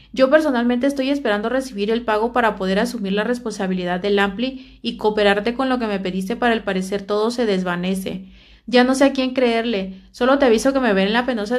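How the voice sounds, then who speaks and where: Speaking at a fairly quick pace with fairly even intonation, a woman is heard over a quiet background. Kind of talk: casual vlog chat, reading messages aloud. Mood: annoyed, complaining. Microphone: phone near.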